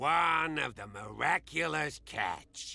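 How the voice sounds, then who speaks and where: Using a put-on character voice, a man sounds raspy with a fairly high pitch. His delivery is fairly slow, with very wide pitch swings. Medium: video game.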